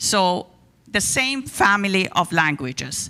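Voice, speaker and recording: With an Iranian accent, a woman speaks in a bright, sharp tone with very wide pitch swings. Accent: Iranian (Persian). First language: Persian. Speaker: guest speaker on religion. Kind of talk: talk to a congregation.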